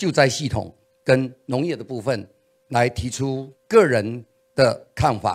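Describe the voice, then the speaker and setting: A very slow pace against a quiet background. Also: man. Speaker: political candidate; candidate. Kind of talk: campaign policy speech. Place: meeting room. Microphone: handheld.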